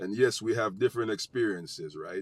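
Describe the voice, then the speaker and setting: The speaker has a strong Jamaican accent and ordinary pitch variation. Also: man. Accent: thick Jamaican. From United States. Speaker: vlogger, social commentator. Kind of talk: casual commentary monologue to camera.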